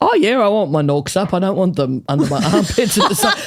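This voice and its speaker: A woman with an Australian accent at a medium pitch, fairly quick and animated, with lively intonation over noticeable background noise. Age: 50s. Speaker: comedian. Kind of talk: casual podcast chat. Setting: studio.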